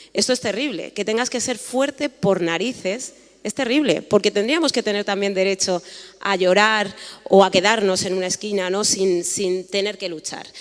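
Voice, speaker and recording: A woman with a Madrid accent talks at a moderate pace and a medium pitch, with ordinary pitch variation over noticeable background noise. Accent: Madrid-area Spanish (Alcorcón). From Spain, Alcorcón (Madrid region). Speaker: panelist, writer on race. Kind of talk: panel talk.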